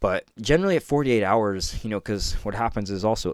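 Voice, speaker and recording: A man with a normal speaking voice talks at a fairly quick pace with ordinary pitch variation, on a very clean recording with a silent background. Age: 30s. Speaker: spiritual teacher and podcast host. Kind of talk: solo teaching talk. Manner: casual, with laughs.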